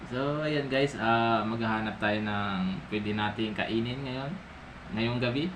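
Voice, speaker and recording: A soft-spoken man at a very slow pace, medium in pitch with ordinary pitch variation, amid audible room echo and noticeable background noise. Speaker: vlogger, family breadwinner. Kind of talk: casual vlog. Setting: at home at night, kitchen.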